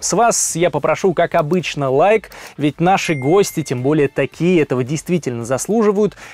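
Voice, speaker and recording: A man speaks at a fairly high pitch and moderate pace with ordinary pitch variation. The sound is dry with no echo, and music plays in the background. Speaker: interviewer. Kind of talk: podcast host intro and interview questions. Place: studio. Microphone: studio mic.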